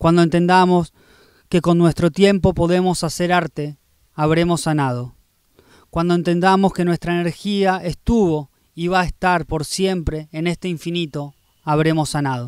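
A man with a high pitch speaks at a moderate pace with fairly even intonation. The background is quiet and the sound is dry with no echo. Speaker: poet. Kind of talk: spoken-word poetry reading. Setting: poetry festival reading. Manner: rhythmic, incantatory delivery with repeated refrains; intimate, reflective, tender. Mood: calm, reflective, intimate. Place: garden. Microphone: handheld.

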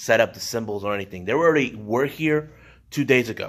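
The speech runs at a very fast pace, with ordinary pitch variation. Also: man. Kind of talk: casual vlog chat. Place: church. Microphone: phone near.

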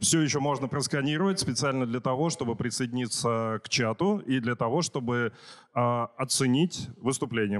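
Over a quiet background, a man talks at a fairly slow pace in a plain, everyday voice, medium in pitch with ordinary pitch variation. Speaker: conference host. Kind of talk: casual chat. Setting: stage with audience. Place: hall.

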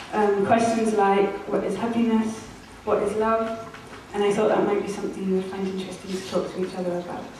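Strong room echo and light background noise fill a woman's recording. She talks at a fairly quick pace with monotone, flat intonation. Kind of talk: live performance speech. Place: hall.

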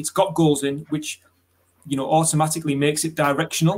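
This man talks in a British accent with a fairly high pitch. His pace is fairly quick. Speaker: webinar host and football coach educator. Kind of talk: webinar presentation. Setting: online webinar. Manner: articulate, conversational.

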